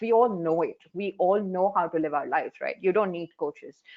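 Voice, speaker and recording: A woman speaks with an Indian accent at a medium pitch, her pitch varying in an ordinary way. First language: Hindi. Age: 40s. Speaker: life coach. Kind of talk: panel discussion.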